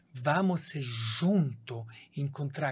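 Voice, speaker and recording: In a very clean recording with a silent background, a somewhat breathy voice with a strong Italian accent speaks very slowly, with ordinary pitch variation. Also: man. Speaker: doctor. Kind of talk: podcast interview.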